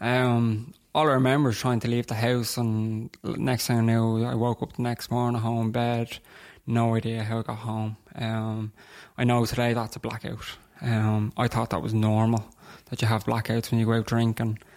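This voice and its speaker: The recording is very clean, with a silent background. A man at medium pitch speaks at a moderate pace with monotone, flat intonation. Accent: Dublin. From Dublin, Ireland (Terenure). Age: 20s. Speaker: person in alcohol recovery. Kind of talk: testimony in interview.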